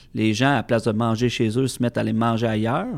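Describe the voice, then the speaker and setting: A man with an ordinary speaking voice at a fairly quick pace, in a very clean recording with a silent background. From Quebec, Centre-du-Québec (Plessisville). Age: 30s. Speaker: master sommelier. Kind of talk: casual interview. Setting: studio.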